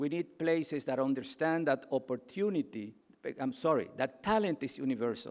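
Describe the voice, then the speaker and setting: This man speaks with a Cuban accent at a moderate pace. His tone is passionate, with ordinary pitch variation. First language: Spanish. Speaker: keynote speaker. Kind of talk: speech.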